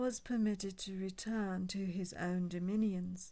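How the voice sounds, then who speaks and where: At a fairly slow pace, a woman with an unremarkable speaking voice talks at a medium pitch. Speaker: audiobook reader. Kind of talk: history book reading.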